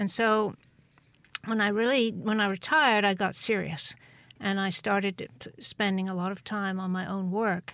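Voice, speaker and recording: A southern English accent comes through with fairly even intonation. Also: woman, medium pitch for a woman, moderate pace. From England, Cheltenham, Gloucestershire. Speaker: visual artist, retired teacher. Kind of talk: radio interview. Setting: studio.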